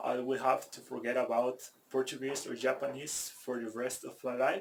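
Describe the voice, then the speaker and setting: At a fairly slow pace, a man speaks at a medium pitch in a Spanish accent. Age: 30s. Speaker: language learner vlogger. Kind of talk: personal vlog monologue. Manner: halting, many repetitions and fillers.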